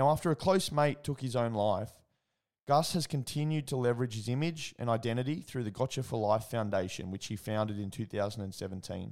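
Over a very clean recording with a silent background, a man with an Australian accent speaks at a medium pitch and moderate pace, his intonation lively. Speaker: podcast host. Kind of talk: casual interview chat; scripted intro reading.

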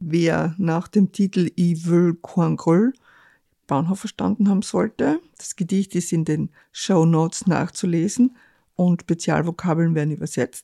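A woman speaks at a very slow pace, her fairly low pitch showing ordinary variation and a dark, mellow tone. The sound is dry and close, with no echo. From Carinthia, Lavant valley. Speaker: podcast host and author. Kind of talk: casual interview; scripted show intro.

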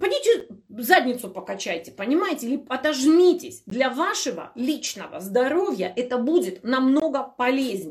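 A woman uses an animated tone and a high pitch, her voice making very wide pitch swings. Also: moderate pace. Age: 40s. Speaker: health blogger. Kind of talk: live stream Q&A.

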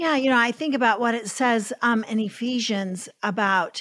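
In a very clean recording with a silent background, a woman talks at a fairly high pitch with ordinary pitch variation. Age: 60s. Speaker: podcast host. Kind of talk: interview.

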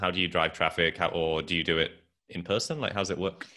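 The speaker is a man with a British accent. His pitch varies in an ordinary way. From England. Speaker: podcast host and entrepreneur. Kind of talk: casual interview chat.

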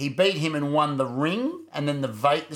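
A man is speaking. He has an Australian accent. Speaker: podcast co-host. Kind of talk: casual chat. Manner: animated.

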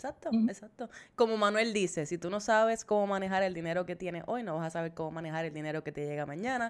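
A woman talks at a very fast pace with hardly any pauses, her animated tone set at a medium pitch with ordinary pitch variation, on a very clean recording with a silent background. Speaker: podcast co-host, money coach. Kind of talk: casual chat.

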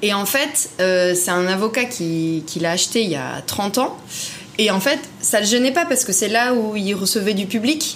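A woman talks at a fairly slow pace in a medium pitch with lively intonation. Noticeable background noise and audible room echo come through. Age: 30s. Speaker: property investor. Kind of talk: interview.

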